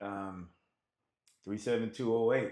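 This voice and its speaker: A man talks at a moderate pace, keeping his intonation fairly even. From US South, Nashville, Tennessee. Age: 60s. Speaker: musician. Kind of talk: interview. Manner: halting, with many fillers.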